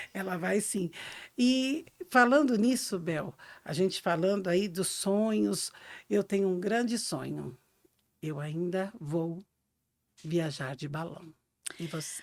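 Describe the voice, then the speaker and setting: Speaking very slowly with long, frequent pauses, a woman at a medium pitch uses lively intonation in a very clean recording with a silent background. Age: 60s. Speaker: podcast co-host, reflexologist. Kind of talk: casual podcast chat.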